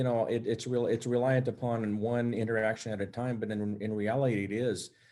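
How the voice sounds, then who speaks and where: Over a silent background on a very clean recording, a man with an American accent and a dark, mellow tone speaks at a fairly quick pace. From San Jose, California. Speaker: police officer, panelist. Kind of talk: panel discussion. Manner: halting.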